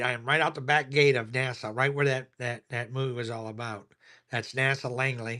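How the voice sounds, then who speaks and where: Monotone and flat, a man speaks at a moderate pace with a bright, sharp tone. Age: 70s. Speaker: coin dealer auction seller. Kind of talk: live online auction. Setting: at home. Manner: casual, halting with fillers.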